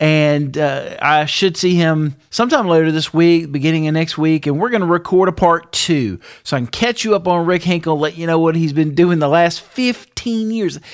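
Barely pausing, a man with a high voice talks at a moderate pace, his pitch varying in an ordinary way. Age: 40s. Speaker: podcast host, freelance musician and studio engineer. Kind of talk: casual podcast talk.

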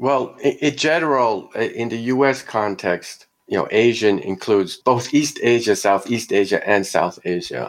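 In an ordinary speaking voice, a man at medium pitch talks at a fairly slow pace with ordinary pitch variation and hardly any pauses. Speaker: sociologist professor. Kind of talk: academic interview, argumentative.

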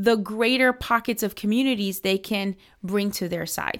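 This woman has a normal speaking voice at a medium pitch, talking at a moderate pace with lively intonation in a very clean recording with a silent background. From US, Miami. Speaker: political organization director. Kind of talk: interview.

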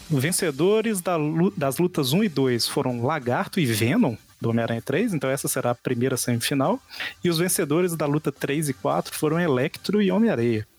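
A man with a Brazilian accent speaks at a fairly high pitch. His intonation is lively while his loudness stays very even. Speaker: podcast host. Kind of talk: casual chat.

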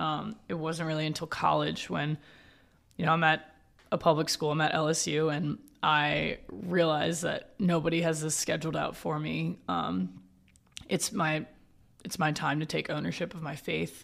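In a very clean recording with a silent background, a woman with vocal fry speaks at a moderate pace, her pitch very deep and low, with ordinary pitch variation. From New Orleans, Louisiana. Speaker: campus missionary. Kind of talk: testimony.

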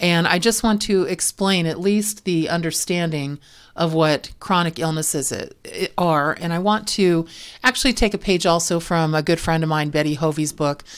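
Very clean recording with a silent background of a woman's plain, everyday voice, fairly low in pitch, at a moderate pace. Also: ordinary pitch variation. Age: 50s. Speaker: medical coding educator and podcast host. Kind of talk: educational podcast monologue.

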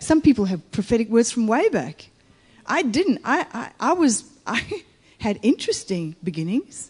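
A woman with a fairly high pitch talks fairly slowly, her pitch swinging very widely. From Italy. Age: 50s. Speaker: guest preacher. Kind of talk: sermon.

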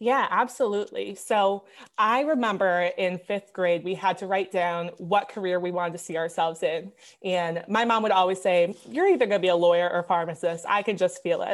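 Over a quiet background, a woman speaks in an Upper Midwestern accent. Her pace is fairly quick and her pitch varies in an ordinary way. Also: medium pitch for a woman. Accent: Upper Midwestern American. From Wisconsin, US Midwest. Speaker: pharmacy student. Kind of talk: interview. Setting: remote recording from home.

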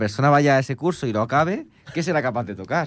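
Lively intonation from a man at a medium pitch and a fairly quick pace. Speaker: music radio host. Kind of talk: casual chat. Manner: fast, talkative.

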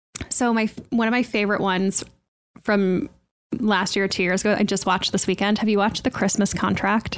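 A woman talks in an ordinary speaking voice at a fairly quick pace and medium pitch. Her intonation is fairly even and her loudness very even. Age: 30s. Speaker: podcast host. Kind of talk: casual chat.

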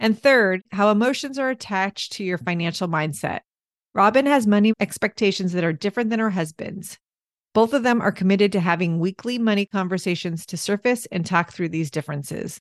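Against a quiet background, a woman speaks at a fairly quick pace in an ordinary speaking voice, with ordinary pitch variation. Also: medium pitch for a woman, dry, close sound with no echo. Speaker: podcast host. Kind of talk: casual interview.

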